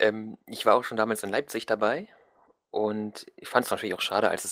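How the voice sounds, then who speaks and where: A man speaks at a fairly quick pace in a fairly low pitch. The recording is very clean, with a silent background. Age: 20s. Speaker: gaming podcaster, student. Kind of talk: casual chat.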